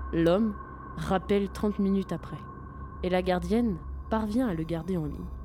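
A woman speaks with a dramatic tone. Her pace is moderate. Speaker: radio host. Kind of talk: horror story narration. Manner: dramatic, suspenseful storytelling pace.

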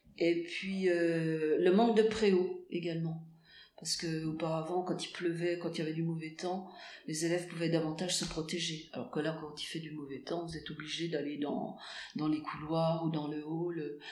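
A woman talks at a moderate pace with fairly even intonation and a fairly low pitch. Audible room echo can be heard. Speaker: school English teacher. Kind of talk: interview. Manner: hesitant, many fillers.

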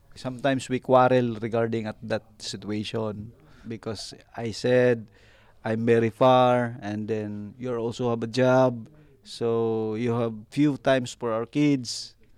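A man's medium-pitched voice with a Filipino accent, fairly slow and monotone with flat intonation, on a very clean recording with a silent background. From Philippines, Northern Mindanao. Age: 30s. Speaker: ship's second officer. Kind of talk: interview. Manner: halting.

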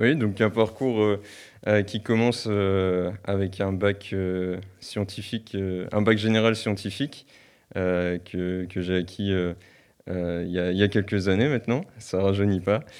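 Over a quiet background, a man with a fairly low pitch talks at a very slow pace with fairly even intonation and long, frequent pauses. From northern France, near Lille. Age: 20s. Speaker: farmer. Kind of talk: interview. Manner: halting, many fillers and repetitions.

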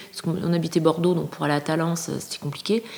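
There is noticeable background noise as a woman speaks at a fairly low pitch. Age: 50s. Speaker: person living with a mental illness. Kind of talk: testimony.

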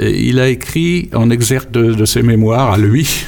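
Over noticeable background noise, a man of medium pitch talks with lively intonation. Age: 80s+. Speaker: memoir author. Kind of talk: interview. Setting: studio. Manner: halting, repeats words.

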